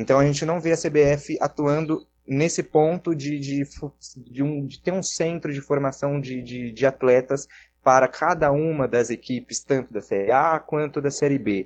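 In a plain, everyday voice, a man speaks at a fairly high pitch and a fairly slow pace with fairly even intonation. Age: 20s. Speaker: radio broadcaster. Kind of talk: casual chat.

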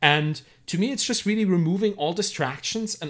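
On a very clean recording with a silent background, a man with a German accent talks at a fairly quick pace with lively intonation. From Germany. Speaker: entrepreneur and author. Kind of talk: casual interview.

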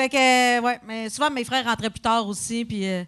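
A woman's high, bright, sharp voice at a fairly quick pace. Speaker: comedian. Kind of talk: live podcast chat. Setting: stage with audience.

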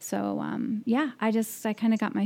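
A woman's voice comes across dark and mellow in tone. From US Midwest (Nebraska), then Denver. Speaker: neurologist. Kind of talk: casual interview.

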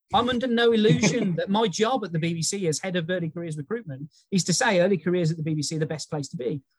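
Talking at a very fast pace, a man uses a high pitch and lively intonation. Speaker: early careers recruitment specialist. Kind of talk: interview conversation.

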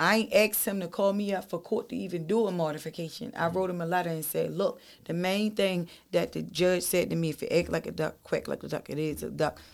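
Pitch varies in an ordinary way. The pace is fairly quick. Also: woman. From East Baltimore. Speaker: former prisoner sharing life story. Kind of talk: casual interview, life story.

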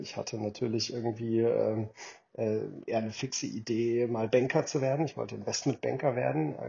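A man speaks at a moderate pace in a somewhat breathy voice. His pitch is medium, with ordinary variation. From Germany. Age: 40s. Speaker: venture capital investor. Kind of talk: interview.

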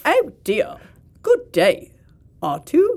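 A put-on character voice speaks at an extremely high pitch. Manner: fretful, polite.

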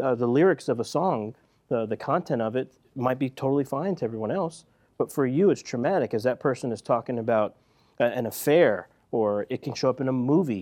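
Speaking fairly quickly in an American accent, a man has an unremarkable speaking voice at a medium pitch with ordinary pitch variation. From US Northeast, West Philadelphia. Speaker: counselor. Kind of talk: casual chat.

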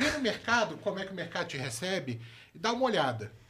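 A man's raised, projected voice, high-pitched with very wide pitch swings, at a moderate pace. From Brazil, moved through all regions, born in Rio. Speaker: crypto product manager. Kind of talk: casual chat.

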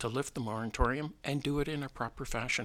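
A man with a Canadian accent and a bright, sharp tone, fairly high in pitch with ordinary variation, at a moderate pace on a very clean recording with a silent background. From Southern Ontario, Canada. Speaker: local election candidate, retired airline pilot. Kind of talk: radio interview. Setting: radio studio.

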